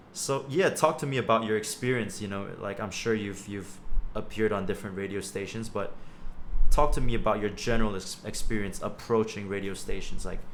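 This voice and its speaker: The speaker talks at a fairly quick pace with ordinary pitch variation, amid noticeable background noise and audible room echo. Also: man, fairly low pitch for a man. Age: 20s. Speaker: podcast host. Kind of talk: casual interview.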